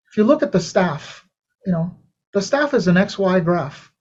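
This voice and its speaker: A high-pitched man's voice. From Venezuela. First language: Spanish. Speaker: saxophonist. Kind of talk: interview. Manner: casual, conversational.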